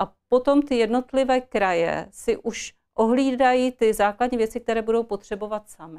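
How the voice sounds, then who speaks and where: A woman speaks in a plain, everyday voice at a fairly high pitch and moderate pace, with ordinary pitch variation and hardly any pauses. Her loudness swings widely against a quiet background. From Czech Republic, Ostrava (Moravia-Silesia); Moravia-Silesia, Czech Republic. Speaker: politician, party candidate; politician, candidate. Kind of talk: political interview. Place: studio. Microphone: lapel.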